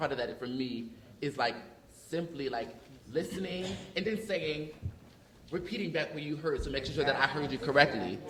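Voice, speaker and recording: Over noticeable background noise, a man talks at a fairly quick pace in an animated tone, his pitch swinging very widely. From North Philadelphia, US. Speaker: scholar and teacher. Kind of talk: panel discussion. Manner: casual, animated.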